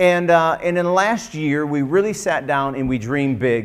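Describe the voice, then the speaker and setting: A man with lively intonation at a moderate pace, against a quiet background. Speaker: pastor. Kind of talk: sermon. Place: church.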